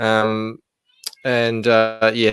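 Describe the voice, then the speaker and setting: A man with an Australian accent speaks at a medium pitch. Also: dry, close sound with no echo. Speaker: comic book creator. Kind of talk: casual chat. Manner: halting, many fillers.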